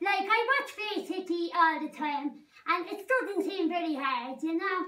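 A woman's put-on character voice, pitched extremely high. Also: moderate pace. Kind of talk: comedy mockumentary character performance.

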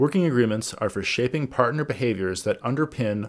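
A man rattles along at a very fast pace, his pitch varying in an ordinary way, with a quiet background behind him. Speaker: organizational governance coach. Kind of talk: tutorial. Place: home room. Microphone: webcam.

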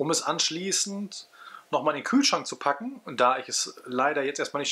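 At a moderate pace, a man talks in a bright, sharp tone. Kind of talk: casual cooking tutorial. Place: kitchen. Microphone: phone near.

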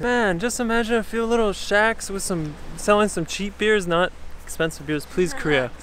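Over light background noise, a man speaks at a moderate pace in a high pitch with ordinary pitch variation, the sound dry with no echo. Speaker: travel vlogger. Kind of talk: casual vlog chat. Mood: relaxed, upbeat. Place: beach. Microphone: phone near.

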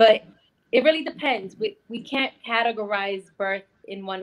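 A woman with an American accent speaks with ordinary pitch variation over a quiet background. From New York. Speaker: birth worker; guest. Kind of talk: interview. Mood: animated, confident. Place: home room. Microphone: video call.

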